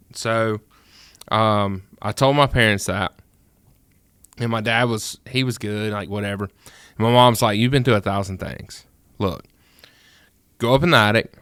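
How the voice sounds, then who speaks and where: In a very clean recording with a silent background, a man with a Mississippi accent speaks at a moderate pace in a medium pitch with ordinary pitch variation. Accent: Mississippi Southern. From US South, rural Mississippi. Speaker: music producer. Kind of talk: casual chat. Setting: studio.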